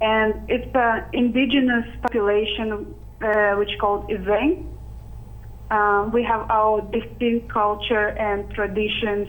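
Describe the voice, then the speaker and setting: A woman talks at a very slow pace, her loudness very even throughout. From Arctic Siberia, Russia. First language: Russian or Sakha language. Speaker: youth citizen scientist. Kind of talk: interview. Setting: video call.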